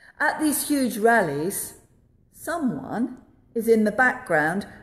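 A woman at a high pitch with very wide pitch swings and a very slow pace. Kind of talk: sermon. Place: church. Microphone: phone near.

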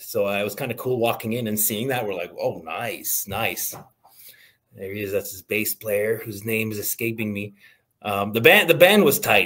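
A man speaks at a moderate pace with ordinary pitch variation. His bright, sharp tone comes with big swings in loudness. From Atlantic Canada. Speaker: music blogger. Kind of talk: casual chat. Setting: video call. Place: home room.

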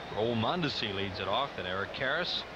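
A man talks at a moderate speed in a dry sound with no echo, while loud noise fills the background. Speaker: play-by-play announcer. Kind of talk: live sports commentary, play-by-play.

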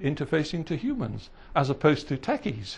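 A man with a fairly high pitch. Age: 60s. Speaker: retired engineer, visiting professor. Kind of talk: lecture. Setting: stage with audience. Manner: halting.

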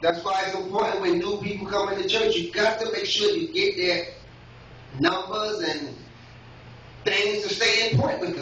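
Long, frequent pauses in a recording with audible room echo and light background noise. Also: man, moderate pace. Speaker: lay preacher. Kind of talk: Father's Day church sermon with call-and-response. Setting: church with congregation. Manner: rhythmic, repetitive preacher cadence punctuated by yes and amen; fervent, exhorting crowd to come forward. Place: church. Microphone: camera far.

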